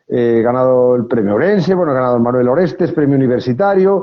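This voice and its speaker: Ordinary pitch variation marks a man speaking with a Galician accent. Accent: Galician Spanish, noticeable. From Galicia, Spain. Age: 50s. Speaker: novelist. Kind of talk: interview. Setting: live video stream from mobile phone. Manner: hesitant, many fillers.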